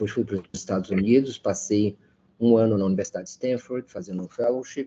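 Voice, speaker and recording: Ordinary pitch variation and a dark, mellow tone mark a man speaking at a moderate pace. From Brazil, Petrópolis, Rio de Janeiro state. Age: 60s. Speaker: journalist. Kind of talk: interview. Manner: halting, with repetitions.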